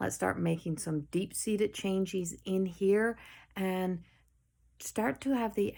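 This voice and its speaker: A woman with a Newfoundland accent at a medium pitch, lively in intonation and fairly slow, on a very clean recording with a silent background. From Newfoundland, Canada. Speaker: spiritual medium and life coach. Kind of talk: channeled spiritual message. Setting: home, late night video.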